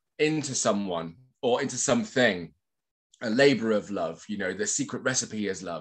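This man has a West Country accent and speaks at a moderate pace. The background is quiet. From England, Bristol; England. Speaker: social cohesion consultant; podcast guest. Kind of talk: casual chat. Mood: thoughtful, warm. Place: home room. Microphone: webcam.

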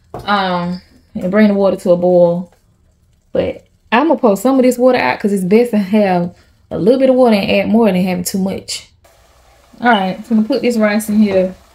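The voice has a dark, mellow tone and sounds somewhat breathy, with ordinary pitch variation. It moves at a fairly quick pace but with long, frequent pauses. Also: woman. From Georgia, USA. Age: 30s. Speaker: stay-at-home mom vlogger. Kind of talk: casual cooking vlog talk to camera. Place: kitchen.

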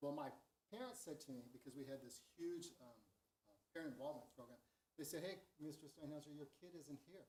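A man with an American accent, fairly high pitch for a man, a somewhat breathy sound, ordinary pitch variation and a fairly quick pace. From Southern California, Long Beach. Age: 60s. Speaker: retired school superintendent. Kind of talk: informal presentation at board meeting. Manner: hesitant, many fillers.

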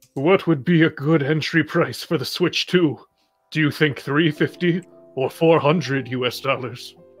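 Putting on a character voice, a man speaks fairly slowly at a fairly high pitch with fairly even intonation while faint music plays in the background.

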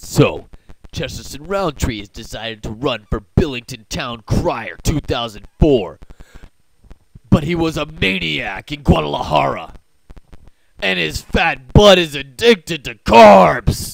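At a fairly slow pace, a man speaks at a medium pitch. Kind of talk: political attack ad voice-over. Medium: comedy sketch. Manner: ominous, accusatory.

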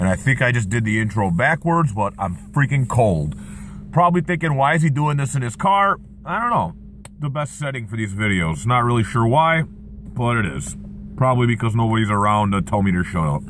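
Fairly quick speech, dry with no echo, over light background noise. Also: man. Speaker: vlogger. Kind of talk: casual vlog chat. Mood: earnest, motivational. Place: car. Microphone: phone near.

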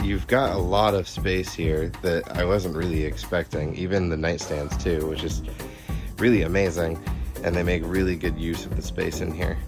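With clear music behind him, a man with a very deep, low voice speaks at a moderate pace. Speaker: travel vlogger. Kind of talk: casual vlog chat. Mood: enthusiastic, pleased. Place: tent. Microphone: phone near.

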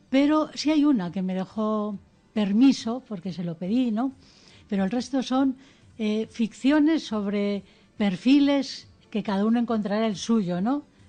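At a fairly slow pace, a woman speaks somewhat breathily in a fairly high pitch with a dark, mellow tone and ordinary pitch variation, against a quiet background. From Spain, Ceuta and Melilla area. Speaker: educator and author. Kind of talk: radio interview. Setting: studio.

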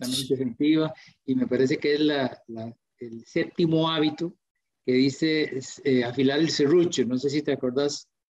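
Speaking with a Costa Rican accent, a man uses a fairly high pitch and fairly even intonation. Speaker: pharmacist and webinar moderator; webinar moderator. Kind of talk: live webinar moderation. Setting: live online stream. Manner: hesitant, many fillers. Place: home room. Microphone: video call.

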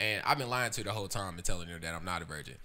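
A man talks very fast in a Southern US accent. His pitch is very deep and low, his tone bright and sharp. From US South. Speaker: musician. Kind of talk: casual chat. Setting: video recording. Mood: relaxed, joking storytelling. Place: studio. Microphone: studio mic.

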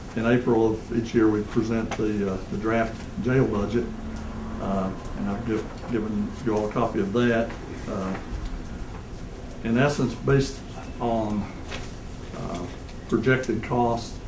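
Flat, monotone delivery broken by long, frequent pauses comes through over noticeable background noise. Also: man. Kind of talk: meeting business presentation. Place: meeting room. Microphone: podium.

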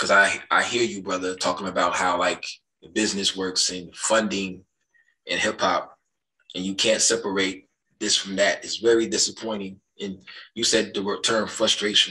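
Against a quiet background, a man with an American accent speaks at a moderate pace in a very deep, low voice with vocal fry, a bright, sharp tone and lively intonation. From US Midwest. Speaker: podcast host; podcast guest. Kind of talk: heated debate. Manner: animated. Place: home room. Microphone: video call.

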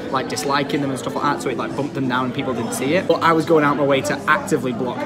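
A man talks at a very fast pace with crowd noise in the background. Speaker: vlogger. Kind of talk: casual vlog chat. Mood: earnest, slightly exasperated. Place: cafe. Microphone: phone near.

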